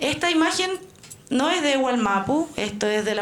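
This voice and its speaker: A woman talks at a fairly slow pace with lively intonation, her voice carrying audible room echo over noticeable background noise. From Chile, Santiago. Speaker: Mapuche activist and student. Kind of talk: talk to an audience.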